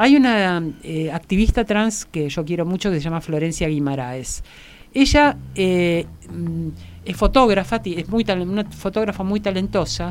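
At a moderate pace, a woman talks in an unremarkable speaking voice of fairly low pitch. Her intonation is lively. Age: 60s. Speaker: philosopher and gender advocate. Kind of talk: interview.

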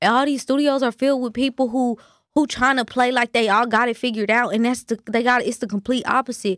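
With a dry, close sound and no echo, a woman with an American accent talks very fast in a high voice, keeping her intonation fairly even. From Kansas City. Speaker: rapper. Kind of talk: casual chat.

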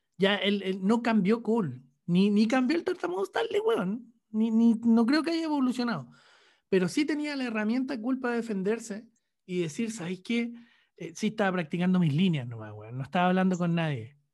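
Over a quiet background, the speaker uses lively intonation and a moderate pace in a Chilean accent. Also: man, high pitch for a man. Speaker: podcast co-host, journalist. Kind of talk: casual chat.

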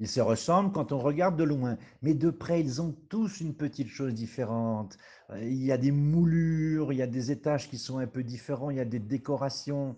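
Against a quiet background, a man with a fairly high voice talks at a moderate pace with ordinary pitch variation. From Paris, France. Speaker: podcast host. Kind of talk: casual monologue. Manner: animated.

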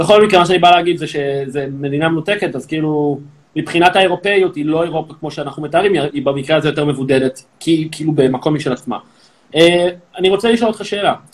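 A man rattles along at a very fast pace, his pitch fairly high. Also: ordinary pitch variation. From Israel, Tel Aviv. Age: 30s. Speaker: social media comedian. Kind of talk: live social media interview.

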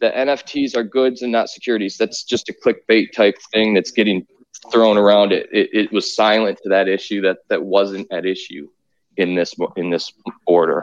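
A man speaks in a normal speaking voice at a fairly low pitch and a moderate pace. His pitch varies in an ordinary way, and the sound is dry and close with no echo. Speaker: lawyer. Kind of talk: legal commentary.

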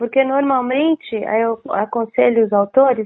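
Her pitch high, a woman speaks at a fairly slow pace with ordinary pitch variation. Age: 60s. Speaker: book publisher and former journalist. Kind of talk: interview.

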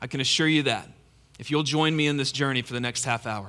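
A bright, sharp tone with ordinary pitch variation comes through in a very clean recording with a silent background. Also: man. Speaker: pastor. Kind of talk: sermon. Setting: church. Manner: informal, enthusiastic.

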